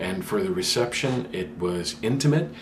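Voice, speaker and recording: A man speaks here. Noticeable background noise and audible room echo fill the recording. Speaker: vlogger. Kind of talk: casual vlog talk. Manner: hesitant, many fillers.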